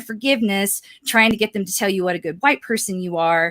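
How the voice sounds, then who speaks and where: Loud and bright, a woman speaks with a Southern US accent and a sharp tone. Her pace is fairly quick and her pitch varies in an ordinary way. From US South. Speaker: life coach. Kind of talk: casual monologue to camera.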